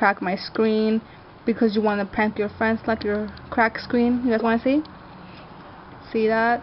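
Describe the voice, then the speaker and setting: Over noticeable background noise, a woman talks at a moderate pace with a fairly high pitch. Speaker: video blogger. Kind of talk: casual chat.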